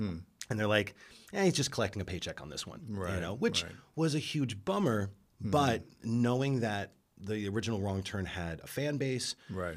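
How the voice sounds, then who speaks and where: At a moderate pace, a man with a fairly low pitch speaks in an American accent with an unremarkable speaking voice. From New York. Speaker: film director and podcaster. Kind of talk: casual chat.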